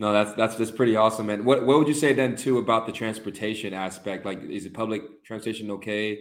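Speaking at a very fast pace with hardly any pauses, a man holds a fairly low pitch and fairly even intonation. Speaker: podcast host. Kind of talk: casual interview chat.

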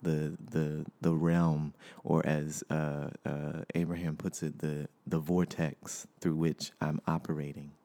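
A man speaks at a very slow pace with hardly any pauses, his very deep, low voice carrying a dark, mellow tone. The intonation is monotone and flat, and the sound is dry and close with no echo. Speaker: podcast host. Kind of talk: casual solo monologue. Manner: halting, many fillers.

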